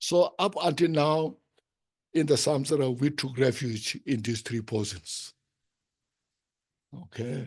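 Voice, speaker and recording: Speaking at a very slow pace, a man with a medium pitch sounds somewhat breathy and uses lively intonation. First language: Tibetan. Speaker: Buddhist teacher. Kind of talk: dharma teaching. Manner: halting.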